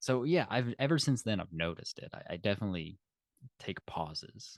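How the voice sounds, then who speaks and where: Speaking with a slight Kentucky accent, a medium-pitched man shows very wide pitch swings and big swings in loudness. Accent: slight Southern drawl, slow Kentucky speech. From Kentucky, Louisville. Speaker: podcast co-host. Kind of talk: casual chat.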